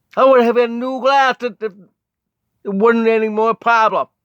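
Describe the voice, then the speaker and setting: The sound is dry and close with no echo. A man with an extremely high pitch speaks at a moderate pace in a monotone, flat intonation. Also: long, frequent pauses. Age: 50s. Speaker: pastor. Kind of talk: personal testimony. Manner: halting.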